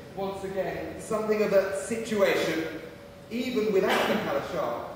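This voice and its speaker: Strong room echo surrounds a man speaking at a moderate pace. Light background noise is present. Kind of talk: theatrical dialogue. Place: stage. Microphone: camera far.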